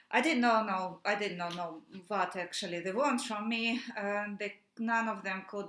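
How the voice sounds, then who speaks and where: A woman's medium-pitched voice with a Russian accent, bright and sharp in tone, at a fairly slow pace with fairly even intonation. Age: 30s. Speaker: activist. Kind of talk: personal testimony. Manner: halting, many fillers.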